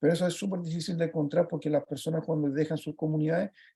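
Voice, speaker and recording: A man with a Chilean accent speaks at a fairly high pitch, his tone dark and mellow. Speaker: project leader presenting a children's book. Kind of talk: virtual presentation talk. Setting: video call. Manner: fast; halting, many fillers.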